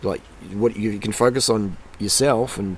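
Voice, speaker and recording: With an Australian accent, a man talks in an energetic tone. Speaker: YouTuber, cycling and nutrition vlogger. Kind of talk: motivational talk to camera. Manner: casual, repetitive and energetic.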